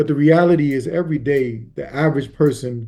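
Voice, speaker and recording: The man's tone is dark and mellow. His voice is somewhat breathy, with fairly even intonation. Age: 50s. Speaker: prison abolitionist activist. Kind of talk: interview.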